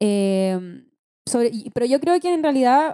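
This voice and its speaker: Speaking with a Chilean accent, a woman keeps a fairly slow pace. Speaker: podcast host and schoolteacher. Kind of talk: podcast interview, casual chat.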